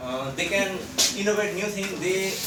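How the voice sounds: A man's high-pitched voice at a moderate pace, with ordinary pitch variation and audible room echo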